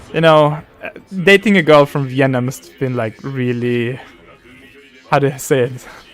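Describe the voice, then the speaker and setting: Music plays behind a man who speaks at a medium pitch and moderate pace, with ordinary pitch variation and long, frequent pauses. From Austria. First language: German. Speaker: streamer. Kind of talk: casual gaming livestream chat. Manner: halting, many fillers and restarts.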